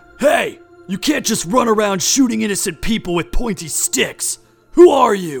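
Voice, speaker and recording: In a put-on character voice, a man speaks high for a man at a moderate pace. Faint music plays in the background. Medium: audio drama. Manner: terse, literal, deadpan.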